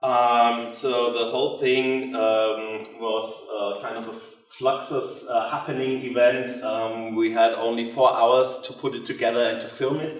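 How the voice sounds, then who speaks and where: Amid noticeable background noise and audible room echo, a man with a non-native accent speaks at a medium pitch and fairly slow pace, in monotone, flat intonation with hardly any pauses and big swings in loudness. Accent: non-native English speaker. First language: German. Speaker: theatre director. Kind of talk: lecture. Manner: halting, many fillers.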